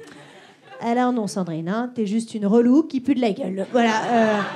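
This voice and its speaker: A woman speaks slowly-ish, at a fairly high pitch, her loudness swinging widely. Background noise is noticeable. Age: 30s. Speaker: stand-up comedian. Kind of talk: stand-up. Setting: stage with audience.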